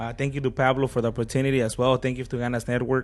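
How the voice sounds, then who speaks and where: Talking at a very fast pace, a man with a Spanish accent speaks at a medium pitch. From Acapulco, Mexico. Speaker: DJ, sports broadcaster and business owner. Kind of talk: podcast interview. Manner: code-switching between Spanish and English.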